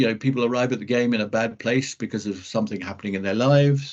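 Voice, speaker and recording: An English-accented man at medium pitch talks with ordinary pitch variation. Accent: very English. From Scotland. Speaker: rugby referee. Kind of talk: interview. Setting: video call. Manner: halting, many false starts.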